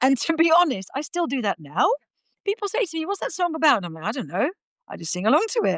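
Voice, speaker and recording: Very fast woman with a Dutch accent, high pitch, very wide pitch swings and a dry, close sound with no echo. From Netherlands. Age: 50s. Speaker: podcast guest. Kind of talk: casual chat. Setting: remote call.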